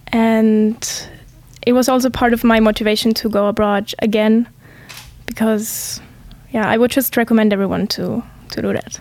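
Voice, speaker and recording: With monotone, flat intonation, a woman speaks fairly slowly at a fairly high pitch. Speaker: student teacher. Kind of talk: interview.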